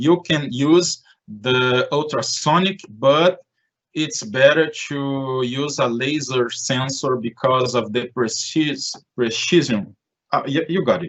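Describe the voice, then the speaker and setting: In a Portuguese accent, this speaker goes at a very slow pace with ordinary pitch variation. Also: man, fairly high pitch for a man. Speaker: conference presenter. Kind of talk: Q&A in online presentation. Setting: online live event. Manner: halting.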